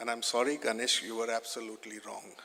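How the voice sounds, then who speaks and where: With an Indian accent, a man talks at a medium pitch and a moderate pace in a bright, sharp tone. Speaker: lawyer, fund chairman. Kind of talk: conference speech. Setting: stage with audience.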